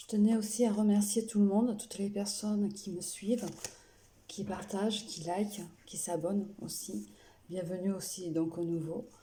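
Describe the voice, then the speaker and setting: A soft-spoken woman at medium pitch, fairly slow, with fairly even intonation, big swings in loudness and audible room echo. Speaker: tarot card reader. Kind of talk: card reading.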